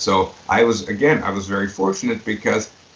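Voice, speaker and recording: A man with a fairly low pitch and fairly even intonation talks at a moderate pace amid noticeable background noise. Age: 70s. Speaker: pediatric dentist and educator. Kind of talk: interview. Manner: halting.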